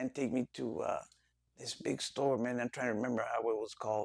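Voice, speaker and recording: Recorded very cleanly with a silent background and a dry, close sound with no echo, a man with a Spanish accent talks fairly quickly at a medium pitch. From Los Angeles, US. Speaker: interview guest. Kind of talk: casual interview. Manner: halting.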